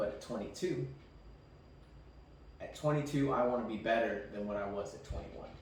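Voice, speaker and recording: A moderate pace amid noticeable background noise and audible room echo. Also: man. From Mexican background. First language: Spanish. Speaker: podcast co-host. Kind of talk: casual chat.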